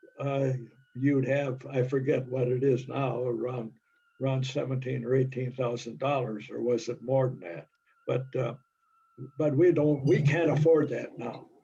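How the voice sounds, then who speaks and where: Somewhat breathy, a man speaks in a dark, mellow tone at a medium pitch with fairly even intonation. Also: moderate pace. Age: 90s. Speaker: society officer at members meeting. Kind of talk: business meeting discussion.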